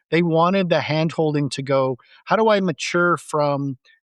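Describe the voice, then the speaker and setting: Recorded with a dry, close sound, no echo and a quiet background, a man with a Canadian accent has an unremarkable speaking voice, a fairly high pitch and ordinary pitch variation. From Canada. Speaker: tech company CEO. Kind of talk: podcast interview.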